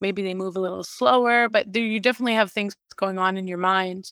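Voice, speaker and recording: This is a woman in a normal speaking voice. She talks at a fairly quick pace. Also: dry, close sound with no echo. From Canada. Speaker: boxer.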